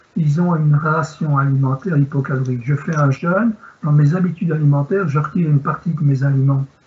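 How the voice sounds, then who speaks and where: Noticeable background noise surrounds a man speaking at a very fast pace in a fairly high pitch. His loudness stays very even, with ordinary pitch variation. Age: 60s. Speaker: sports medicine doctor. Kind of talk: Q&A answer; lecture.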